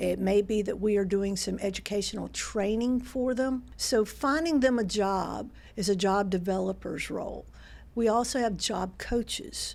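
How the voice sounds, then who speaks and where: A woman speaks with a Southern US accent. Her pitch is medium, with ordinary variation. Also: moderate pace. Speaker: nonprofit president. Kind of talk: podcast interview.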